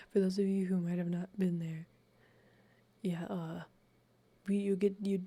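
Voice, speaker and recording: A man with a high pitch and a dark, mellow tone speaks calmly at a moderate pace in a flat, monotone delivery. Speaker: streamer. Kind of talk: ASMR reading stream. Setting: live stream. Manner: soft-spoken.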